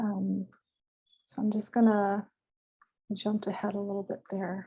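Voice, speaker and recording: Somewhat breathy, dark and mellow, a woman's medium-pitched voice with monotone, flat intonation. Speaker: doctoral researcher, conference panelist. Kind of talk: conference presentation. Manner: slow.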